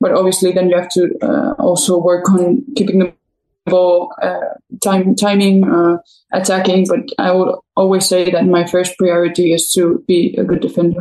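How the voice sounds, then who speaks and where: In a Spanish accent, the speaker keeps a moderate pace, ordinary pitch variation and very even loudness. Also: woman, medium pitch for a woman. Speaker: professional footballer. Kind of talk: interview.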